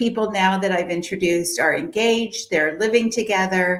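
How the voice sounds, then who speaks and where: A woman talks at a moderate pace and medium pitch. It is an unremarkable speaking voice. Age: 60s. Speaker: matchmaker and dating coach. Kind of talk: interview.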